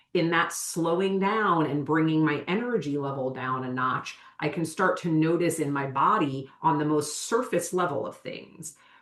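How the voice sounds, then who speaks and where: This woman talks with almost no pauses in a very deep, low voice, her pitch varying in an ordinary way over noticeable background noise. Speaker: somatic educator. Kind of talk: podcast interview. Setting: video call from her office. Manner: deliberately slowed speech.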